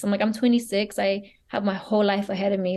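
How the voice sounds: A woman speaks at medium pitch and a fairly quick pace. Her tone is slightly mellow, with little pitch movement.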